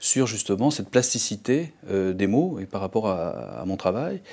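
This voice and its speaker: Dark and mellow in tone, this man's voice sits fairly low. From southern France. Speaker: visual artist. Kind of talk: interview conversation. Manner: halting, many repetitions.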